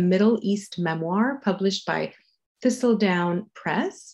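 A woman with a French accent speaks at medium pitch and a fairly slow pace against a quiet background. Her tone is dark, mellow and somewhat breathy, with ordinary pitch variation. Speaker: contest jury member. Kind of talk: introduction of a speaker. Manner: halting, many fillers.

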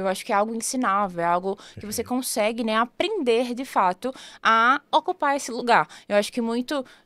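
At a moderate pace, a woman talks with lively intonation and a high pitch. The background is quiet. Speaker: sales coordinator; podcast guest, sales expert. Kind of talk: interview podcast. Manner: eloquent. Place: studio. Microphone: studio mic.

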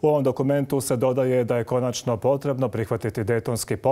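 At a moderate pace, a dark, mellow tone carries fairly even intonation. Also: man. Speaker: news anchor. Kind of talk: news reading. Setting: studio.

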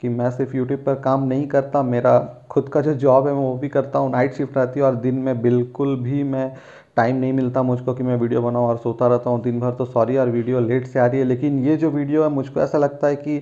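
A man talks at a moderate pace with hardly any pauses, his dark, mellow tone held in a monotone, flat intonation over a quiet background. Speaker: vlogger sharing hair transplant experience. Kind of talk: casual vlog chat. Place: home room. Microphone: phone near.

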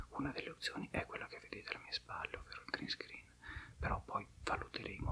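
Whispering, a man talks at a fairly quick pace. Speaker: educational YouTuber on philosophy. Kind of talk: casual channel update vlog to camera. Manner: whispered. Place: home room.

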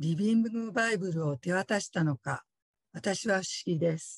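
Her voice somewhat breathy and her intonation lively, a woman is heard in a dry space with no echo and a quiet background. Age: 50s. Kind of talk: testimony. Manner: polite, formal. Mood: earnest, reflective. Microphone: video call.

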